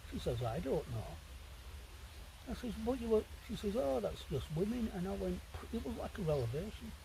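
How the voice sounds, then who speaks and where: With audible room echo, a man talks at a fairly quick pace broken by long, frequent pauses. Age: 60s. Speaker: wild camping vlogger. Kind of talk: casual monologue to camera. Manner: rambling, conversational.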